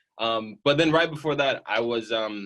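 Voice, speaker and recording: A man speaks in an American accent against a quiet background. His pace is moderate, with ordinary pitch variation. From Northern Indiana. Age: 20s. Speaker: mobile home investor. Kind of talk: interview answer. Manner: casual, enthusiastic.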